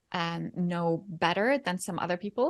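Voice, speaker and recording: A woman with a Norwegian accent speaks at a moderate pace in a medium pitch. Her intonation is fairly even, and the background is quiet. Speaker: photography educator and mentor. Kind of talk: interview.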